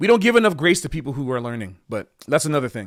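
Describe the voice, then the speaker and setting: The speaker is a man with an American accent. His intonation is lively. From Florida, US South. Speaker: live streamer. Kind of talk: casual livestream talk. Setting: livestream with chat.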